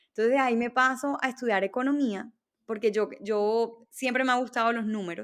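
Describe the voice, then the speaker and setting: A woman with a Barranquilla accent talks at a fairly quick pace with ordinary pitch variation, captured in a very clean recording against a silent background. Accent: Barranquilla Colombian. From Colombia, Barranquilla (Caribbean coast). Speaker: entrepreneur. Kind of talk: interview.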